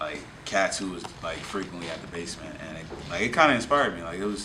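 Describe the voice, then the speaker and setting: Over noticeable background noise and audible room echo, a man with an American accent talks at a very fast pace with a fairly low pitch. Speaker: rapper. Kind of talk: interview. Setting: hip-hop venue. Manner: casual, halting with fillers.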